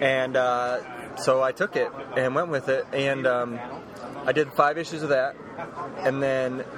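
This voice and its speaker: A man speaks at a fairly slow pace and medium pitch, with long, frequent pauses. His intonation is fairly even, and there is noticeable background noise. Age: 30s. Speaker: comic book artist. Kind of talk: casual interview. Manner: hesitant, many fillers.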